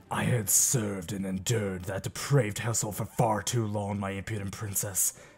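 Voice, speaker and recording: In a put-on character voice, a man speaks with a menacing tone at a moderate pace while faint music plays in the background. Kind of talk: character audition. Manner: menacing, haughty.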